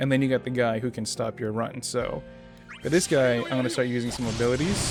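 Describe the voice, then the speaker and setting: A man with a medium pitch talks at a very fast pace, with ordinary pitch variation. Music plays behind him. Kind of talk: gameplay commentary. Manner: hesitant, with stutters and filler sounds.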